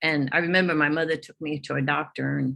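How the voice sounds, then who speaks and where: A woman speaks with a very deep, low pitch, a bright, sharp tone, and vocal fry. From Netherlands. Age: 80s+. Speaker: Holocaust survivor speaker. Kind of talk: testimony. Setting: church hall with Zoom audience. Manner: halting.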